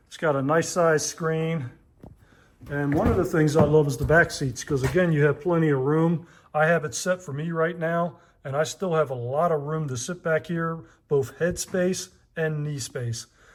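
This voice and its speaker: With an ordinary speaking voice, a man speaks at a moderate pace and a fairly high pitch. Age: 60s. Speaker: truck owner reviewing his vehicle. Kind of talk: casual vehicle walkthrough vlog. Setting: in a car.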